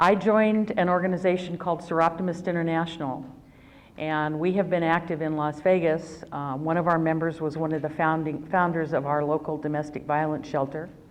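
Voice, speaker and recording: In an American accent, a woman speaks at a fairly low pitch and a moderate pace. Her intonation is fairly even, and there is audible room echo. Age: 60s. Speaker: retired attorney, domestic violence workshop speaker. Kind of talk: personal testimony at a workshop.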